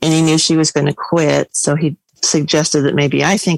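A woman's very deep, low voice with an American accent, monotone and flat, at a moderate pace in a dry, close sound with no echo. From Nebraska. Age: 50s. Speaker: blind vending operator and state committee chair. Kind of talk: panel discussion.

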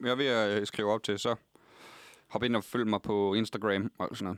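Over a very clean recording with a silent background, a man speaks at a moderate pace. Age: 20s. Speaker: comedian. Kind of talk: casual chat. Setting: studio.

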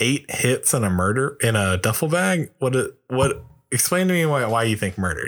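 On a very clean recording with a silent background, a man speaks at a moderate pace with lively intonation and very even loudness. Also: hardly any pauses. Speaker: podcast co-host. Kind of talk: casual chat. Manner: low enthusiasm.

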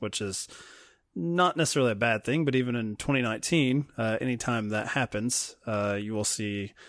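In a slight Southern US accent, a man speaks at a moderate pace on a very clean recording with a silent background. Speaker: film podcast co-host. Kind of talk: casual chat.

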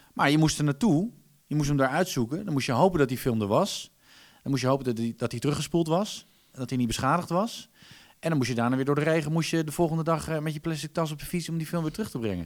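A man at a very fast pace, fairly high in pitch with ordinary pitch variation. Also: very clean recording, silent background. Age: 40s. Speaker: voice-over artist. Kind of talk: casual chat.

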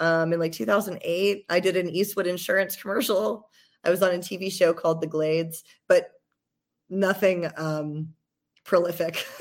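With an American accent, a woman uses a normal speaking voice of fairly low pitch, ordinary pitch variation and a moderate pace, captured in a very clean recording with a silent background. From US South, Georgia. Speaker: podcaster in addiction recovery. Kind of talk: testimony.

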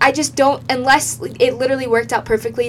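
Noticeable background noise sits behind the speech. A woman talks at a fairly quick pace. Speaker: podcast co-host. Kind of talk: casual chat.

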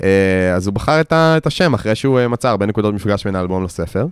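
With lively intonation and hardly any pauses, a man talks in an ordinary speaking voice. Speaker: podcast co-host discussing music albums. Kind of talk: casual chat.

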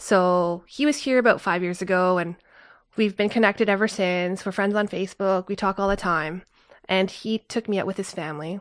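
A woman speaks with a normal speaking voice and a Canadian accent, at a medium pitch and a moderate pace. Her intonation is fairly even, and the recording is very clean with a silent background. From Canada. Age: 30s. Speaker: traveler. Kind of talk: casual chat.

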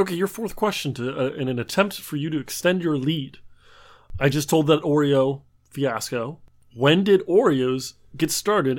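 On a very clean recording with a silent background, a man with an ordinary speaking voice talks at a fairly slow pace in a fairly high pitch with lively intonation. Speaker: trivia podcast co-host, does the editing. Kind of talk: casual banter between brothers.

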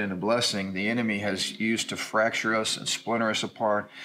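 Using a plain, everyday voice, a man speaks at a fairly quick pace. His pitch is medium and his intonation fairly even. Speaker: pastor. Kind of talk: casual discussion.

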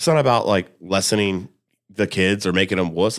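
Using a plain, everyday voice with an American accent, a man speaks at a fairly low pitch and fairly quick pace with lively intonation in a very clean recording with a silent background. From Columbus, Indiana, US Midwest. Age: 30s. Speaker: cook. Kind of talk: casual chat. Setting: studio.

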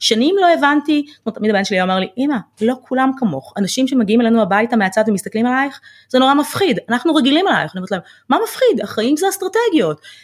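At a very fast pace, a woman speaks with a high pitch. Her pitch swings very widely. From Israel, Ramla. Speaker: financial planner. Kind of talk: interview.

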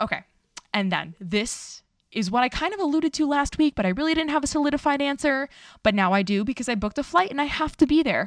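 With an American accent, a woman speaks very fast in a high, animated voice that has very wide pitch swings. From New York City (Astoria, Queens). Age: 30s. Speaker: dietitian podcast host. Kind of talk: casual solo podcast monologue.

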